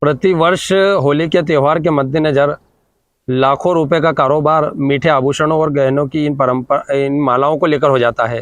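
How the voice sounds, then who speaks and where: Fairly even intonation marks a man talking in a normal speaking voice. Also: fairly high pitch for a man. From India, Malwa region, Madhya Pradesh. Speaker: local news reporter. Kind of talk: news report with interviews.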